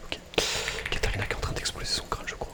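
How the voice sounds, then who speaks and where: Noticeable background noise sits under someone whispering. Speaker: gaming streamer. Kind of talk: whispered gameplay commentary. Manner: whispered.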